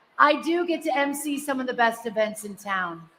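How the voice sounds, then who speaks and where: A woman's raised, projected voice, bright and sharp in tone, at a fairly slow pace. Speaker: radio host and event emcee. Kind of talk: awards ceremony speech. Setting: stage with audience, in the round. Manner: loud. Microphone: echoey.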